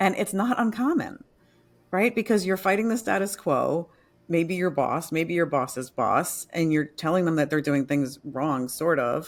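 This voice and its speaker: The recording is very clean, with a silent background and very even loudness. An unremarkable speaking voice moves at a fairly slow pace. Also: woman, fairly low pitch for a woman, lively intonation. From New York. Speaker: author and transformation coach. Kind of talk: interview.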